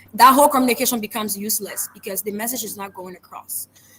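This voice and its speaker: The woman's voice sits fairly high, with ordinary pitch variation. Noticeable background noise runs underneath. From Liberia. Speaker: public speaker. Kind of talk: interview. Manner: fast.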